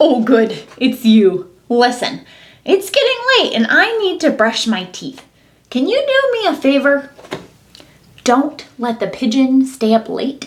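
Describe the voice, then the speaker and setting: Using a put-on character voice, a woman speaks high-pitched at a fairly slow pace. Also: lively intonation. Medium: read story. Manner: casual, friendly.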